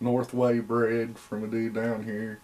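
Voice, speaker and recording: Noticeable background noise sits behind a man with an American accent who speaks at a very slow pace and a medium pitch. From Indiana. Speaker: hound breeder. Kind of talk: interview. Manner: casual.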